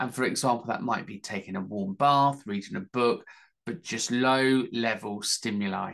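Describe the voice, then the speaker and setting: The setting around this man is quiet. He keeps to a moderate pace. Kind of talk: educational talk. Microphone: webcam.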